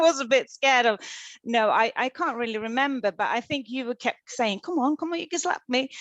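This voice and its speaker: In a Swedish accent, a woman speaks at a high pitch with lively intonation. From Sweden. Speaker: actress. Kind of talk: casual chat. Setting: video call. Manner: halting.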